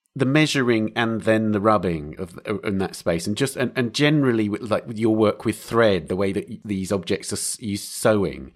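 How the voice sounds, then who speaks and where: A man talks at a moderate pace in a normal speaking voice, fairly low in pitch with ordinary pitch variation. He hardly pauses, and the very clean recording has a silent background. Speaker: podcast host. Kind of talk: interview intro and narration.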